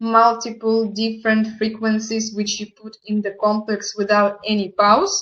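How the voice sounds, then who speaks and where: The speaker has a non-native accent and a fairly slow pace. The intonation stays monotone and flat. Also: woman. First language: not English. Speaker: product presenter. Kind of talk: online product presentation.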